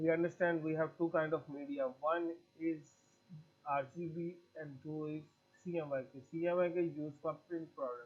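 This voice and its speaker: The voice has a Pakistani accent and monotone, flat intonation. The pace is moderate. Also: man. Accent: South Asian (Pakistani) English. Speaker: graphic design teacher. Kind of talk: tutorial. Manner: halting, with frequent fillers.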